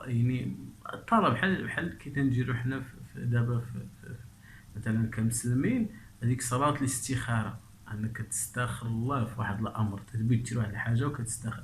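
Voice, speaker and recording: At a moderate pace, a man speaks in a somewhat breathy voice of medium pitch with fairly even intonation. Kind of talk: casual commentary on a documentary clip.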